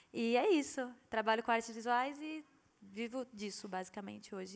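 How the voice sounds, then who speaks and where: A woman's fairly high-pitched, ordinary speaking voice with ordinary pitch variation. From Brazil, Rio Grande do Norte (Mossoró). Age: 20s. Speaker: visual artist. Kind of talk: panel discussion. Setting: stage with audience.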